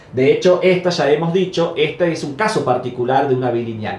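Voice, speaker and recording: A man speaks with a high pitch. Noticeable background noise and audible room echo surround his voice. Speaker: math professor. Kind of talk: lecture. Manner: stumbles over words at times.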